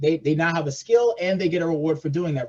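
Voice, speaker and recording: A man's voice with a dark, mellow tone. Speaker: policy advocate for partner organization. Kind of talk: presentation on legislation. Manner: fast.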